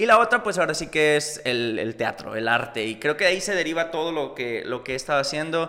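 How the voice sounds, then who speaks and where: A man talks in an ordinary speaking voice at a fairly high pitch. His intonation is lively, his pace fairly quick, with hardly any pauses. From northern Mexico, Coahuila (Múzquiz). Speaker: actor and cosplayer. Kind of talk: casual chat.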